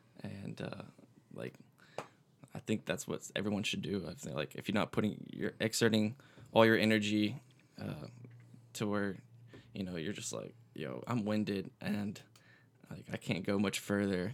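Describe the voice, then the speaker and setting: With an American accent, a man speaks in a fairly low voice with vocal fry, ordinary pitch variation and a moderate pace, leaving long, frequent pauses. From Florida Panhandle (Pensacola), US South. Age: 20s. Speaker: musician. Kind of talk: casual chat.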